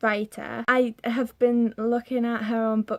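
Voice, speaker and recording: A woman with an ordinary speaking voice talks fairly slowly at a fairly high pitch, her intonation fairly even. The very clean recording has a silent background and a dry, close sound with no echo. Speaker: book reviewer. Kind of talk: casual vlog book review.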